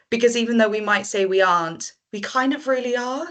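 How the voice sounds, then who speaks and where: With a Welsh accent, a woman talks at a fairly quick pace with ordinary pitch variation. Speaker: marine conservation project manager. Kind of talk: panel discussion.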